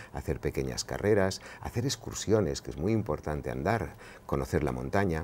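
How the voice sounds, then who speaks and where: A man with vocal fry and lively intonation. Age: 60s. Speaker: pediatrician and sleep specialist; interviewee. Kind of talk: interview. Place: studio. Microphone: lapel.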